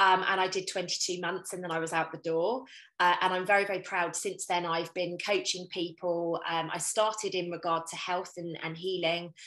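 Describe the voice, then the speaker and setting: With a British accent, a woman speaks in a fairly low pitch with a bright, sharp tone. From UK. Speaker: intuitive coach. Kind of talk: casual interview chat. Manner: animated.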